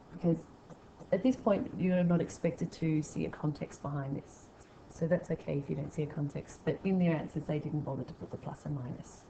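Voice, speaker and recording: Talking at a fairly quick pace in an Australian accent, a woman with a very deep, low pitch shows a dark, mellow tone, vocal fry and ordinary pitch variation. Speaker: maths teacher. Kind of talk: tutorial.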